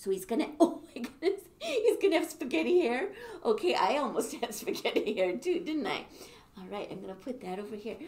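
A woman's moderately paced speech with very wide pitch swings. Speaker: children's music teacher. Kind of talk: playful teaching talk to children. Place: classroom. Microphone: camera far.

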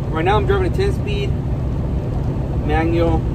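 The pace is moderate for this man. Loud noise fills the background. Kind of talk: casual vlog chat. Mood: relaxed, positive. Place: car. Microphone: phone near.

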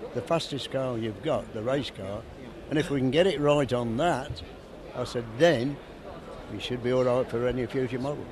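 A man at a moderate pace with long, frequent pauses and ordinary pitch variation, dry sound with no echo, and noticeable background noise. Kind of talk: interview answer. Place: hall. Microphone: handheld.

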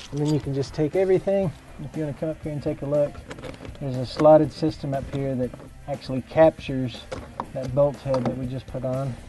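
A man speaks very fast, his intonation fairly even, with light background noise behind him. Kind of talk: tutorial. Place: garage.

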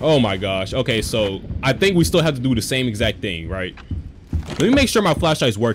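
Very wide pitch swings from a man, with noticeable background noise. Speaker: gamer streamer. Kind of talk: gameplay commentary. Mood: tense, nervous, joking. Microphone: headset.

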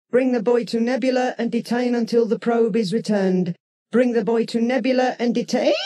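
A put-on, robotic character voice talks at a fairly high pitch and a fairly quick pace. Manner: repeating a message mechanically.

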